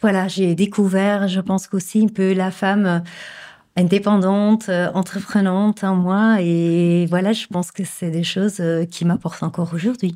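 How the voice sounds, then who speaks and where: A woman with a slight Flemish accent, medium pitch, a dark, mellow tone, monotone, flat intonation and a fairly slow pace, in a very clean recording with a silent background. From Flemish Belgium, Bruges. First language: Dutch (Flemish) (speaking French). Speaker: image consultant and coach. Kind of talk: interview. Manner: hesitant, many fillers.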